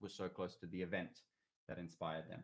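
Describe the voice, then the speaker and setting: A man with an Australian accent talks at a very fast pace. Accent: Australian twang, people call it weird. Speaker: singer-songwriter. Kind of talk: casual livestream chat with viewers. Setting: YouTube livestream at home. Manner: casual, rambling with fillers.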